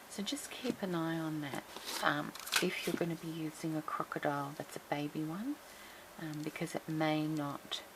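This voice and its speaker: Over noticeable background noise, a woman with a very deep, low voice talks at a fairly slow pace. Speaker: crafting tutorial host. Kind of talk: tutorial. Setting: at home. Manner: quiet, low voice.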